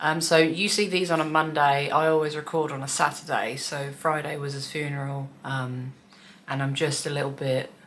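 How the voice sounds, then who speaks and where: In a room with audible echo, a woman with a very deep, low pitch speaks at a moderate pace with fairly even intonation. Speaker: cross stitch vlogger. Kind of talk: casual hobby vlog. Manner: monotone, flat.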